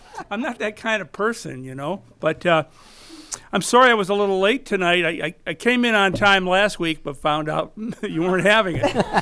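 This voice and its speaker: A man speaks at a moderate pace in a raised, projected voice. His pitch is high, and his intonation is lively. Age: 70s. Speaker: amateur filmmaker, award winner. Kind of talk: acceptance speech. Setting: studio with audience. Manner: halting.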